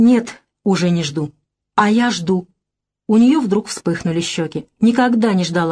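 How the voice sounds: Against a quiet background, a natural reading voice carries ordinary pitch variation.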